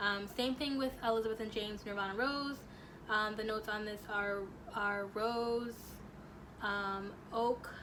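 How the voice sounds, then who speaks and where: Pausing long and often, a woman talks at a fairly slow pace with fairly even intonation, against noticeable background noise and audible room echo. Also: fairly high pitch for a woman. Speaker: beauty and perfume vlogger. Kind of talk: product review vlog. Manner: stuttering over words.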